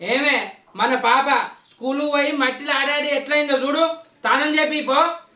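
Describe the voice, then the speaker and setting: The speaker puts on a high-pitched character voice. The words come out mumbled at a moderate pace. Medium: comedy sketch. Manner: muddled, mumbling repetition.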